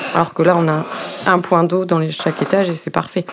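Noticeable background noise around a speaking woman. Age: 30s. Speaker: nurse. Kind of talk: interview testimony. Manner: hesitant, with fillers.

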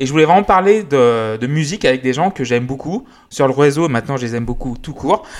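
With lively intonation, a man in an unremarkable speaking voice talks at a fairly high pitch and a fairly quick pace. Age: 30s. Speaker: music podcast host. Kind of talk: casual chat.

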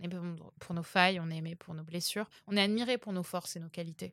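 A normal speaking voice moves at a moderate pace with fairly even intonation. The very clean recording has a silent background and a dry, close sound with no echo. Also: woman. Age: 20s. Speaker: dating coach. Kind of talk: casual chat.

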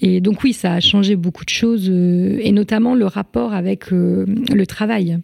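Speaking at a very slow pace with hardly any pauses, a woman keeps a medium pitch and very even loudness. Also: ordinary pitch variation. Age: 30s. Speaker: former history-geography teacher and mother. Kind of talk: interview about parenting experience. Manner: hesitant, many fillers.

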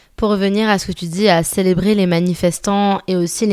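The recording is very clean and the background silent. A woman talks in a medium pitch. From Paris, France. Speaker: podcaster. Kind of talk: casual chat. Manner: animated.

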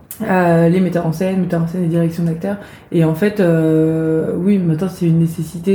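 The voice is a flat monotone at a moderate pace. Room echo is audible. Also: woman. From Brittany, France (village near Rennes). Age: 30s. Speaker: actress and playwright. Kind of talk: interview.

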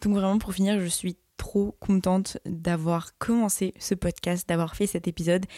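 In a very clean recording with a silent background and a dry, close sound with no echo, a woman talks fairly slowly at a medium pitch, her dark, mellow tone held in a monotone, flat intonation. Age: young. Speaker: podcast host and social media creator. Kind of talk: casual solo monologue.

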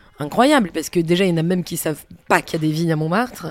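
A woman's voice with lively intonation. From Provence, France. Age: 40s. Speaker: singer and performer. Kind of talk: casual interview. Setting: bar. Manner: halting, repeats words.

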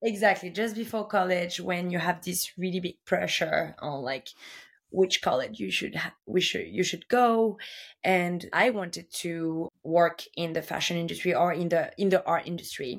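A woman with a normal speaking voice talks at a fairly low pitch and a moderate pace, with ordinary pitch variation. The recording is very clean, with a silent background. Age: 30s. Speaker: fashion buyer. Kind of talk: interview.

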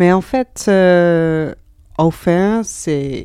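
A woman speaks in a Dutch accent with a dark, mellow tone. Her pitch is fairly low, with ordinary pitch variation. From Netherlands. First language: Dutch (speaking French). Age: 30s. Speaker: comic book author and artist. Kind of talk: interview. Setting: bookshop in Geneva. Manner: halting, frequent hesitations and repeated words.

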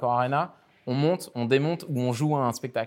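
A man's unremarkable speaking voice, fairly even in intonation, at a moderate pace. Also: very clean recording, silent background. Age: 30s. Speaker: concert arena executive. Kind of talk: interview. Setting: lounge box inside a concert arena.

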